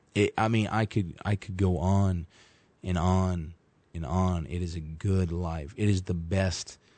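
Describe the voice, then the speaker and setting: A man with an American accent, a very deep, low pitch, fairly even intonation and a fairly slow pace. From US South, Arkansas. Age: 20s. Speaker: fill-in radio host, church member. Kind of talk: preaching-style radio talk. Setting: radio studio.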